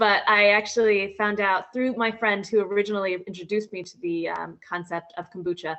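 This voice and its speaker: In an ordinary speaking voice with an American accent, a woman talks at a fairly quick pace, medium in pitch, with ordinary pitch variation. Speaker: company founder and CEO. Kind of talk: interview.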